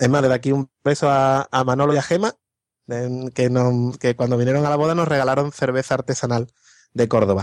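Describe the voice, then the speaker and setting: Recorded with a dry, close sound and no echo, a man in an ordinary speaking voice talks at a fairly quick pace in a medium pitch, his loudness very even. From Andalusia, Spain. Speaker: podcast guest. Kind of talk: casual chat.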